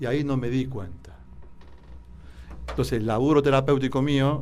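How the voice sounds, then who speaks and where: There is vocal fry in this man's medium-pitched voice, along with audible room echo. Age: 60s. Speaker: doctor, therapist. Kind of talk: radio interview.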